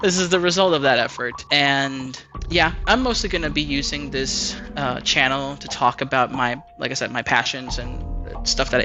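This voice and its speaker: Music plays in the background as a man speaks in a fairly high voice. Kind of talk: casual talk to camera, unscripted rant. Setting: home mic, lower quality audio. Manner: occasional stammering.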